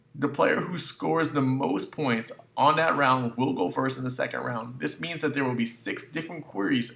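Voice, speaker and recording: A man's medium-pitched voice is heard with noticeable background noise behind it. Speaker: gaming YouTuber. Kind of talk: casual talk to camera.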